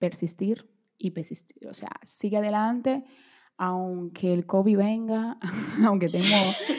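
A woman speaks very slowly with a Portuguese accent. Her pitch varies in an ordinary way. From Brazil, moved to Dominican Republic as child, back at 15. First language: Portuguese (speaking Spanish). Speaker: beauty and fashion content creator. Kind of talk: interview conversation.

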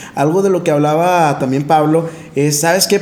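This man has an unremarkable speaking voice with a fairly high pitch. He keeps a moderate pace. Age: 20s. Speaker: podcast co-host, speaker. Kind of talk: casual chat.

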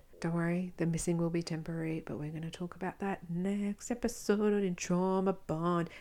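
Recorded very cleanly against a silent background, a woman with an Australian accent speaks fairly quickly in a fairly low pitch, her tone dark and mellow and her intonation fairly even. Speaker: podcast host, domestic abuse survivor. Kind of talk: solo podcast monologue. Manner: casual, chatty.

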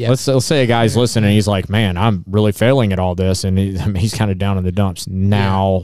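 Here is a man with an unremarkable speaking voice and fairly low pitch. He keeps a moderate pace, fairly even intonation and very even loudness. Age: 40s. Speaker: podcast host. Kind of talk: casual chat.

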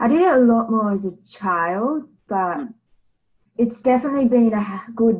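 A woman with an Australian accent speaks in a fairly high, somewhat breathy voice with lively intonation. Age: 20s. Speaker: guest sharing mental health story. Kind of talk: interview.

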